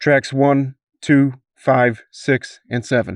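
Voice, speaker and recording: Putting on a character voice, a man speaks at a very slow pace and a medium pitch. His intonation stays fairly even. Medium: read story. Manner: clipped, businesslike.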